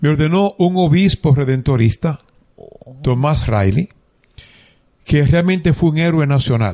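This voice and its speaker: The voice has a dark, mellow tone and lively intonation, at a fairly slow pace with long, frequent pauses. Loudness stays very even, and the sound is dry and close with no echo. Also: man, fairly high pitch for a man. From Dominican Republic, San Juan de la Maguana. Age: 70s. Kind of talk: interview, life story.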